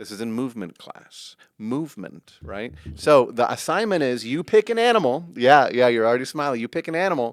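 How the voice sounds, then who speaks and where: A man with an American accent talks at a fairly quick pace in an ordinary speaking voice of medium pitch. His intonation is lively, his loudness swings widely, and the recording is very clean with a silent background. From US West Coast, San Francisco. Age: 30s. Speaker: actor and comedian. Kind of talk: casual chat. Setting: studio.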